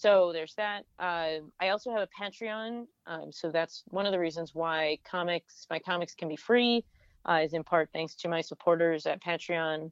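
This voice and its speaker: A woman talks in a normal speaking voice, with an American accent and a fairly low pitch. Her pace is moderate and her pitch varies an ordinary amount. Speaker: cartoonist and beer educator. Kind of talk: casual chat.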